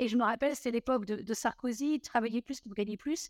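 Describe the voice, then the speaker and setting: A woman speaks in a normal speaking voice at a fairly quick pace and fairly high pitch, with ordinary pitch variation. The sound is dry and close, with no echo. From southern France (Montpellier). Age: 40s. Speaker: mortgage broker and trade union founder. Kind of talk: interview.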